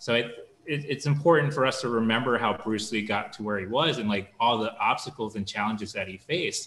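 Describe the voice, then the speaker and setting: Speaking at a fairly quick pace, a man has a medium pitch with ordinary pitch variation. Audible room echo surrounds his voice. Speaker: documentary film director. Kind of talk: panel interview. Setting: video call. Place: home room. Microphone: video call.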